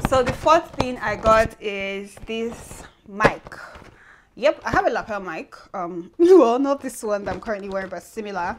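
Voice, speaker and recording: Over light background noise, a woman talks at a moderate pace with lively intonation and big swings in loudness. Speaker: vlogger. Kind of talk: casual vlog chat. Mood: cheerful, excited. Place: home room. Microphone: lapel.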